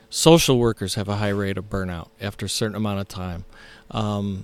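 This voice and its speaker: A man with an American accent, in a very clean recording with a silent background. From Ohio. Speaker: pastor. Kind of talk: casual interview. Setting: on site at a church camp.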